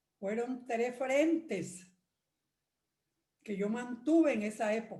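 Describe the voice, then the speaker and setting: A very slow woman's voice, fairly high in pitch, dark and mellow in tone, with lively intonation. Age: 80s+. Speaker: retired lawyer, church member. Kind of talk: testimony.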